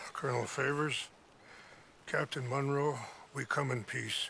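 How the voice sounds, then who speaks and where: Over clear background noise, a man puts on a raspy character voice at a fairly high pitch. His intonation is monotone and flat, at a moderate pace. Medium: video game. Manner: calm, measured.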